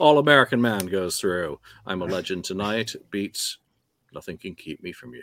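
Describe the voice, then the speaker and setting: Fairly low in pitch, this man talks in a normal speaking voice at a moderate pace with lively intonation, recorded with a dry, close sound and no echo. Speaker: podcast host. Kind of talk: casual chat. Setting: studio.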